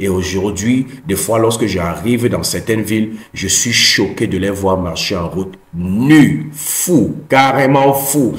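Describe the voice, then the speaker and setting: Over audible room echo, a man with a fairly low pitch talks at a very slow pace with lively intonation and hardly any pauses. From Cameroon. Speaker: personal development YouTuber. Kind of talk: motivational talk. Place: home room. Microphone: earbuds.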